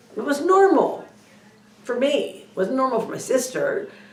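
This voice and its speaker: A woman at a moderate pace with ordinary pitch variation, audible room echo and noticeable background noise. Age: 60s. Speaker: spiritual video blogger. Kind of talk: personal monologue. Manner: hesitant, many fillers.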